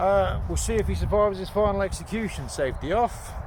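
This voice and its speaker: Speaking at a fairly quick pace with a British accent, the voice sits in audible room echo. Noticeable background noise runs underneath. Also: man. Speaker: youtuber testing crossbows. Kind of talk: casual outdoor vlog. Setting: outdoors. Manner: loud; rambling with hesitations. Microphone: no microphone, camera audio.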